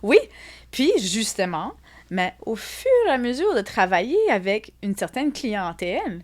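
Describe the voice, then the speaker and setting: A woman with an Acadian accent speaks at a very slow pace. Her fairly high voice has lively intonation. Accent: Acadian French, noticeable. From Acadia (Atlantic Canada). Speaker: psychologist and art therapist. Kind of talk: interview conversation. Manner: hesitant, many fillers and repetitions.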